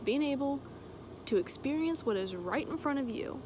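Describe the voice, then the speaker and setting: A woman talks at a moderate pace, the sound dry with no echo and background noise noticeable. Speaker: vlogger. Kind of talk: casual vlog chat. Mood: earnest, emotional, emphatic. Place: open country. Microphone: phone near.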